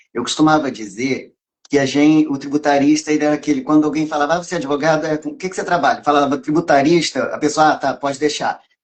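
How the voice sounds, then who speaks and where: A man's fairly high voice at a very fast pace, with hardly any pauses and fairly even intonation. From Minas Gerais, Brazil (born in Rio). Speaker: tax lawyer. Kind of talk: live stream interview.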